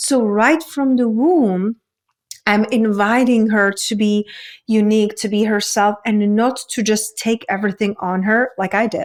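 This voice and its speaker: A woman's fairly high voice with a Czech accent, fairly even intonation and a fairly slow pace. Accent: foreign accent (Czech). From Czech Republic. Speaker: women's coach. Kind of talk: interview conversation.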